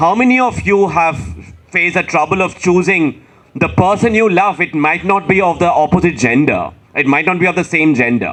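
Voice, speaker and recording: Music plays in the background as a man speaks in a high pitch. He has a Bengali accent and ordinary pitch variation. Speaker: author. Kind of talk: panel discussion.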